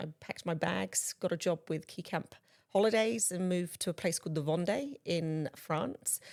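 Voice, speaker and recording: On a very clean recording with a silent background, a woman speaks at a fairly low pitch with vocal fry. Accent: strong English. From southwest England, Bristol. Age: 40s. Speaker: guest speaker on inclusive employment. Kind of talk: casual chat.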